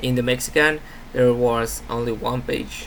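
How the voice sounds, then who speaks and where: A man speaks. Audible room echo is present. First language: Spanish. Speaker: university student. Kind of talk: class presentation. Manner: halting.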